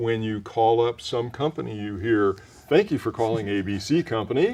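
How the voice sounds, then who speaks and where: A man talks with an ordinary speaking voice at a medium pitch. He keeps a moderate pace. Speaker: voice actor, retired corporate marketing professional. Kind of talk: interview answer, conversational.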